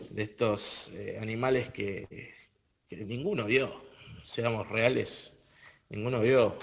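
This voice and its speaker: A man with an Argentine accent at medium pitch, ordinary pitch variation, very slow pace and long, frequent pauses. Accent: Argentine Spanish (voseo). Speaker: panel guest on paranormal talk show. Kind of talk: casual panel discussion. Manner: halting, many fillers and repetitions.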